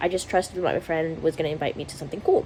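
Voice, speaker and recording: A woman talks in an animated tone over noticeable background noise. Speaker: vlogger. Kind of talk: casual vlog monologue.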